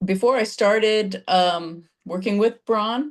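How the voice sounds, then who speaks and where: Her pace fairly slow and her pitch variation ordinary, a woman talks in an ordinary speaking voice. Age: 60s. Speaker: fitness client, insurance broker. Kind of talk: testimonial interview.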